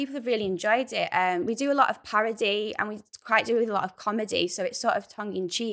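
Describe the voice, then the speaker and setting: A woman with a Lancashire accent speaks at medium pitch and a fairly quick pace. Her pitch varies in an ordinary way, on a very clean recording with a silent background. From Rossendale, Lancashire. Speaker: actor and theatre maker. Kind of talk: panel discussion.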